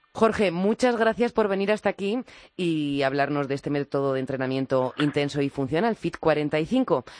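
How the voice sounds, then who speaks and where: With a very deep, low pitch and very wide pitch swings, a woman speaks at a moderate pace in a dry, close sound with no echo against a quiet background. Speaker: radio host. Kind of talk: radio magazine show.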